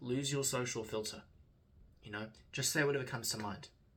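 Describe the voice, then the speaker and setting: A man speaks at a moderate pace with fairly even intonation, and the room echo is audible. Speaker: student video diarist. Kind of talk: personal video diary reflection. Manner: halting.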